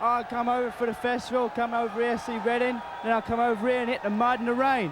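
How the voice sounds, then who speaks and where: A man's extremely high-pitched voice at a very fast pace, with noticeable background noise. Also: fairly even intonation. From England, London. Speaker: festival-goer. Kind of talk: casual interview.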